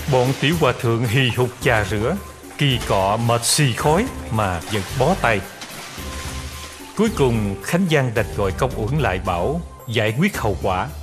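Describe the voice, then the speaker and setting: With music in the background, a man of medium pitch speaks at a very slow pace with long, frequent pauses and very even loudness. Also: lively intonation. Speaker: voice actor. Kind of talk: history storytelling narration.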